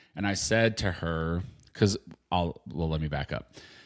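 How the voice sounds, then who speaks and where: A man talks with ordinary pitch variation. The background is silent and the recording very clean. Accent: West Coast. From Southern California, San Diego. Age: 50s. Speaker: podcast co-host. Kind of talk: casual chat.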